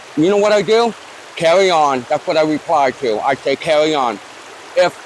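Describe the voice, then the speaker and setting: A man with an American accent, his fairly high voice moving at a moderate pace with lively intonation, over noticeable background noise. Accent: northern US accent, noticeable to locals. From Newport, Rhode Island. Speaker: YouTuber. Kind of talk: interview. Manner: casual, conversational.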